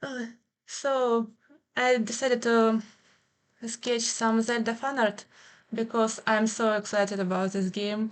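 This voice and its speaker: With a non-native accent, a woman speaks fairly slowly in a fairly high voice with monotone, flat intonation. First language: Ukrainian. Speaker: streamer and artist. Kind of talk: livestream chat while drawing. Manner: halting.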